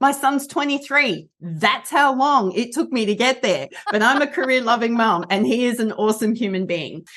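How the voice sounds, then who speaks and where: A high-pitched woman with an Australian accent, lively intonation, a moderate pace and hardly any pauses. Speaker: rehabilitation counsellor and coach. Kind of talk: interview.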